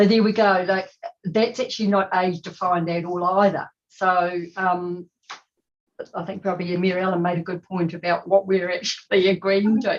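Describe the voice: At a moderate pace, a woman talks with fairly low pitch and little pitch movement.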